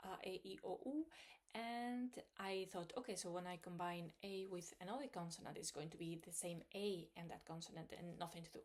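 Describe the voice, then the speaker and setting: A woman with a Spanish accent speaks at a medium pitch. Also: ordinary pitch variation, moderate pace. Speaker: language learning vlogger. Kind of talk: video diary. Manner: hesitant, many fillers.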